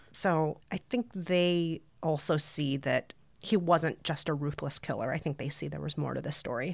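A woman with an American accent, very deep, low pitch, vocal fry and moderate pace. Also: ordinary pitch variation. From Brooklyn, US. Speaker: podcaster and author. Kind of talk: casual interview chat.

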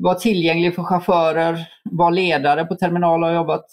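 At a moderate pace, a man talks with a high pitch. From Sweden, Gothenburg. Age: 30s. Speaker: adventurer and mountaineer. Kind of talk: interview.

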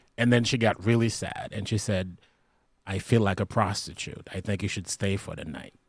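Speaking at a moderate pace with fairly even intonation, a man with an unremarkable speaking voice and fairly low pitch shows big swings in loudness. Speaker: comedian. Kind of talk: casual chat.

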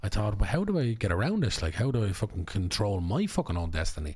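This man's voice is somewhat breathy. He talks very fast. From Ireland. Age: 30s. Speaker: actor and filmmaker. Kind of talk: casual chat. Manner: animated.

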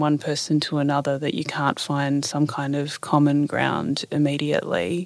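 A woman with an Australian accent speaks at a moderate pace in a very deep, low pitch. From Australia, Newcastle NSW. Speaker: author and climate campaigner. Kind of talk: interview.

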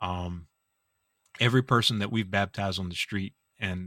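A man speaks with a very deep, low pitch and a bright, sharp tone. The sound is dry and close with no echo, on a very clean recording with a silent background. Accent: South Carolina. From US South, Orangeburg, South Carolina. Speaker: pastor. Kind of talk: podcast interview.

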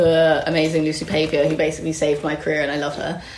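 A woman speaks in a fairly low voice. There is noticeable background noise. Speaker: beauty editor. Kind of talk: casual chat.

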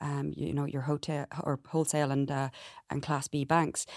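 Fairly even intonation and a moderate pace come through in a Cork accent. The recording is very clean with a silent background and a dry, close sound with no echo. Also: woman. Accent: Irish, Cork. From Ireland, Bantry, West Cork. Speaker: compliance expert, company co-founder. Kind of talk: interview.

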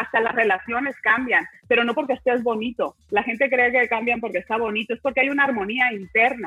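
Over noticeable background noise, a woman talks at a fairly quick pace with hardly any pauses. Her intonation is fairly even. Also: fairly high pitch for a woman. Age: 40s. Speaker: nutrition and wellness panelist. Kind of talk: panel discussion.

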